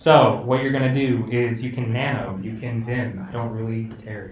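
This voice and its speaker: At a moderate pace, a man speaks in a monotone, flat intonation, with audible room echo and noticeable background noise. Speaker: cybersecurity workshop instructor. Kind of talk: live workshop tutorial. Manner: loud, yelling over the room.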